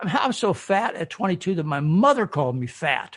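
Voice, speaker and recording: A man with an American accent talks at a fairly quick pace. His pitch swings very widely. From US Midwest, Michigan. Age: 70s. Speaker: physician and health author. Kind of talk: interview. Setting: podcast interview. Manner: animated.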